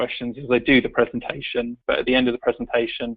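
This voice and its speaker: The pace is fairly quick. It is a man talking with a British accent. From UK. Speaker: tech company executive. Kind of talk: webinar presentation. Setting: online webinar call.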